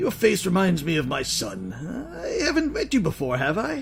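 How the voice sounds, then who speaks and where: Over clear music in the background, a man uses a put-on character voice at a moderate pace. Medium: game stream.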